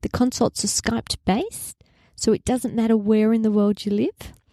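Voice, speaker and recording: The voice is dark and mellow in an Australian accent, delivered at a moderate pace. The recording is very clean, silent in the background, and dry and close with no echo. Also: woman. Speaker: naturopath podcast host. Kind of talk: health podcast monologue.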